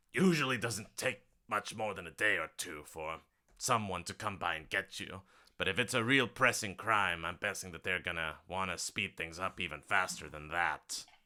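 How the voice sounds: A man uses a put-on character voice. It is gravelly and very deep. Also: moderate pace, ordinary pitch variation, very clean recording, silent background.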